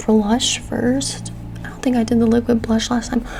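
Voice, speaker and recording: Soft-spoken, a woman talks over noticeable background noise. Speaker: mother, ASMR creator. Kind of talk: ASMR soft-spoken makeup video, casual talk to camera. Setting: quiet home with rain and sound machine background. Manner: soft-spoken, casual, chatty.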